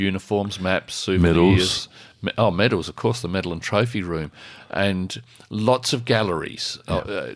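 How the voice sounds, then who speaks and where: With an Australian accent, a man speaks at a moderate pace and fairly low pitch with ordinary pitch variation. His loudness swings widely over a quiet background. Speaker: radio co-host. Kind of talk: community radio talk show. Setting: studio. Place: studio. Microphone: studio mic.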